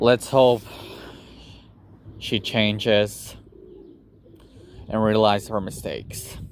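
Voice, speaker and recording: A fairly low male voice, monotone and flat, at a very slow pace with long, frequent pauses. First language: not English. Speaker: YouTuber. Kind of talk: personal vlog monologue. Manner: halting.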